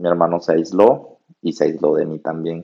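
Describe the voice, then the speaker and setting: This man speaks with a very deep, low pitch. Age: 20s. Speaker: podcast host. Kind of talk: casual chat. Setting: remote recording over internet.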